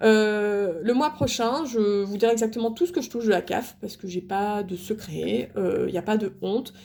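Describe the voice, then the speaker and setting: Her medium-pitched voice has a dark, mellow tone and ordinary pitch variation, moving at a moderate pace with hardly any pauses. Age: 30s. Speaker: stay-at-home mom vlogger. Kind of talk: casual vlog talk to camera. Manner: halting, many fillers and repetitions.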